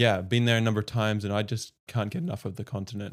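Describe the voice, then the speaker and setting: Over a silent background on a very clean recording, a man with a slight Australian accent speaks very fast at medium pitch, his intonation fairly even. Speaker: podcast host. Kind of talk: casual chat.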